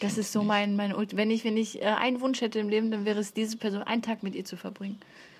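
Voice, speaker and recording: A woman's fairly high, somewhat breathy voice at a very fast pace, monotone and flat, with hardly any pauses. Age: 20s. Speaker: stand-up comedian. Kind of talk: casual chat.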